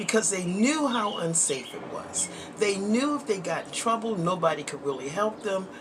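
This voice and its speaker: A woman's mid-pitched voice with very wide pitch swings and big jumps in loudness, at a moderate pace, with audible room echo and noticeable background noise. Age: 60s. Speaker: vlogger. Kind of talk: casual chat. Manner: conversational, frequent filler words.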